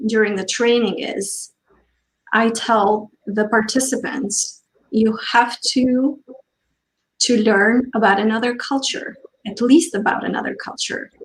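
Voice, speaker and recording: Somewhat breathy and fairly high, a woman's voice moves at a very slow pace with fairly even intonation. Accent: non-native. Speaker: diversity trainer. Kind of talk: panel discussion.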